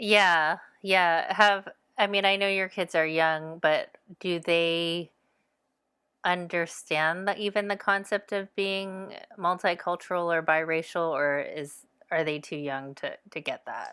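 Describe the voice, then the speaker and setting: A woman with an American accent has an ordinary speaking voice at a fairly low pitch. She speaks at a fairly slow pace with fairly even intonation, in a very clean recording with a silent background. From US (born Savannah, Georgia; Korean-German). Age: 40s. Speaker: author. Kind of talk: casual interview chat.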